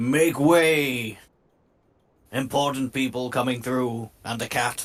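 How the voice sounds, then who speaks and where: Loud and booming, this put-on character voice moves at a fairly slow pace. Its intonation is fairly even. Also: man, medium pitch for a man. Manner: commanding, proclaiming.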